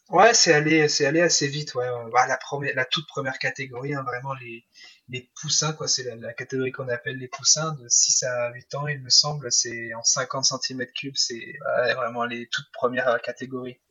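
Delivered at a moderate pace with hardly any pauses, a plain, everyday voice keeps fairly even intonation but shows big swings in loudness. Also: man, fairly high pitch for a man. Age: 20s. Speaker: semi-professional motocross rider. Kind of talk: interview.

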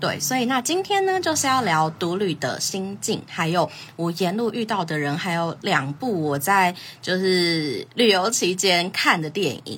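Using lively intonation, a woman speaks at a fairly slow pace in a medium pitch. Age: 20s. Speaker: podcast host. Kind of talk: casual solo talk on a livestream. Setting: social media livestream.

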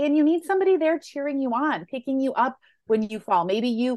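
An American-accented woman talks at a fairly quick pace in an ordinary speaking voice with ordinary pitch variation, dry and close with no echo, over a quiet background. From Western New York. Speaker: plant-based lifestyle coach and cookbook author. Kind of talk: interview.

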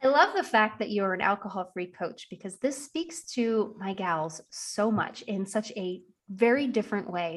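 This woman has a plain, everyday voice, pitched in the medium range. She talks at a moderate pace with ordinary pitch variation. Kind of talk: podcast interview, scripted intro.

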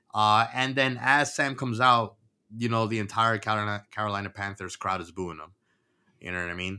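Bright and sharp in tone, a man with an American accent speaks at a fairly quick pace, his loudness swinging widely while his pitch varies in an ordinary way. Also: fairly low pitch for a man. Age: 30s. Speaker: podcast host. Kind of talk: casual chat.

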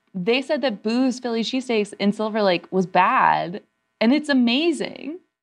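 A woman's lively intonation at a very even loudness, with music in the background. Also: fairly high pitch for a woman, moderate pace. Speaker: comedy writer and actor. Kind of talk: casual chat.

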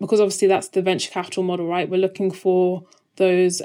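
A woman speaks in a monotone with flat intonation. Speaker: venture capital investor. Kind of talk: casual interview conversation. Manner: soft-spoken.

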